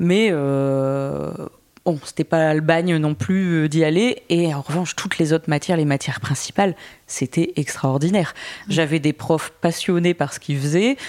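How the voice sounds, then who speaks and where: Her voice is very deep and low for a woman, with ordinary pitch variation. She speaks at a fairly slow pace. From northern France, Boulogne-sur-Mer. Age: 30s. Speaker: content creator. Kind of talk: interview conversation.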